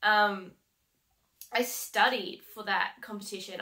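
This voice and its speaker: The tone is bright and sharp. It comes with an Australian accent. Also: woman. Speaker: heavy vehicle mechanic and coach. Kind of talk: vlog monologue. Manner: casual, many fillers. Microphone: webcam.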